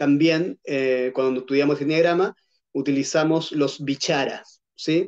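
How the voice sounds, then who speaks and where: The speech moves at a fairly slow pace. Its intonation is fairly even. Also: man, fairly high pitch for a man. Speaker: Gestalt therapist and trainer. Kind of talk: lecture. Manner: hesitant, many fillers.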